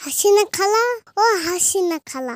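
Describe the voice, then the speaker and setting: This is a cartoonish character voice. Its pitch is extremely high. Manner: teasing, impudent.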